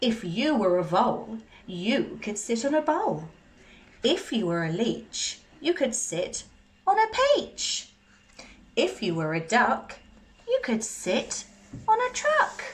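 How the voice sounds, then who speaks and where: A female-sounding voice speaks in a put-on character voice with a fairly high pitch. The pace is fairly slow, with long, frequent pauses. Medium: read story. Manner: smug.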